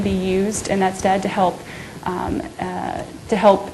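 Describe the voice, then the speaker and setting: Noticeable background noise runs under the voice. There is audible echo from the room. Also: woman. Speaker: conservation program coordinator. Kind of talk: lecture. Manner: fast; hesitant, many fillers.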